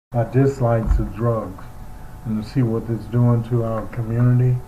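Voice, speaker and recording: A man with an American accent talks at a very slow pace in a medium pitch. Audible room echo surrounds his voice. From New York City (Harlem). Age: 70s. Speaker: former pro basketball player and sportscaster. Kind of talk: interview reminiscence.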